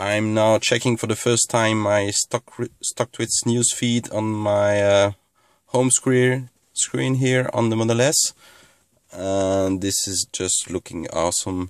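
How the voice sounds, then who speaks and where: A man talks at a very slow pace in a fairly low pitch with fairly even intonation. The sound is dry with no echo, over a quiet background. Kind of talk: casual vlog chat. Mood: pleased, thankful. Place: car.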